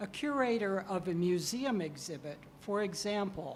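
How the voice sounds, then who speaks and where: At a very slow pace, the voice shows ordinary pitch variation, with audible room echo. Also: woman. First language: English (speaking Spanish). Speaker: professor, keynote speaker. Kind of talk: lecture.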